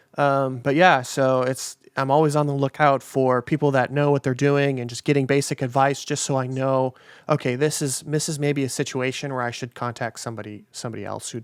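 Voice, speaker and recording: This man speaks with a Minnesota accent at medium pitch. His pace is fairly quick. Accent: Minnesota accent, mistaken for Canadian. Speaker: podcast host and musician. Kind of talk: casual interview. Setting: video call.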